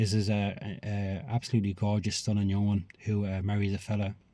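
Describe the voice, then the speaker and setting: The voice belongs to a man with a fairly low pitch. His tone is dark and mellow. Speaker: film reviewer. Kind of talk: casual review monologue. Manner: fast; hesitant, many fillers.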